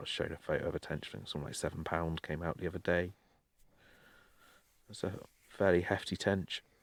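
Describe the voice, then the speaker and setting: In an English accent, a man with a very deep, low pitch talks at a very fast pace with long, frequent pauses, fairly even intonation and big swings in loudness, in a very clean recording with a silent background. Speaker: podcast co-host. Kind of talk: casual chat.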